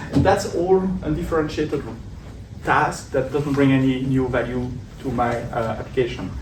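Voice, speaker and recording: A man with a slight French accent talks at a medium pitch, with audible room echo and noticeable background noise. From Belgium. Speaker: tech conference speaker. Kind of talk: tech talk. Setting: meetup stage with audience.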